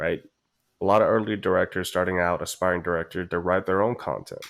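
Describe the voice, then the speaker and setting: On a very clean recording with a silent background, a man speaks fairly quickly with a Chinese accent. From China. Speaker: film producer. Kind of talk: podcast interview.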